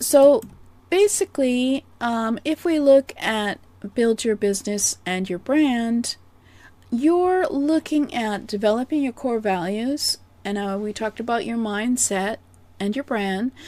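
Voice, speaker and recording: Recorded with a dry, close sound and no echo, a woman with a Canadian accent talks at a fairly slow pace in a fairly high pitch, with a dark, mellow tone and lively intonation. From Canada. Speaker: business coach. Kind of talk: presentation. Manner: soft-spoken.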